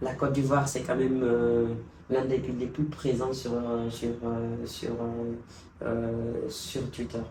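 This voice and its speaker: Amid noticeable background noise and audible room echo, a man with a medium-pitched voice speaks at a very slow pace in a monotone, flat way. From Guinea. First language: Pular (speaking French). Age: young. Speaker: youth envoy. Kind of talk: interview. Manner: halting.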